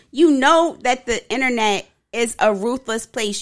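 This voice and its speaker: The intonation is lively. It is an ordinary speaking voice. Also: woman. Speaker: podcast co-host. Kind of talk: casual banter podcast chat.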